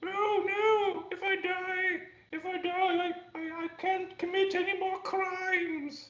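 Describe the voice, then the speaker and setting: This put-on character voice is extremely high-pitched, with monotone, flat intonation. It moves at a very slow pace with a slight echo. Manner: defiant, dry humor.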